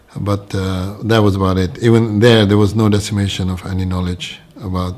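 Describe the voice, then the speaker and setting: Through noticeable background noise, a man with a very deep, low pitch talks at a moderate pace with fairly even intonation. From Kenya, Nairobi. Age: 60s. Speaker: religious convert. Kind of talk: testimony. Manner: hesitant, many fillers.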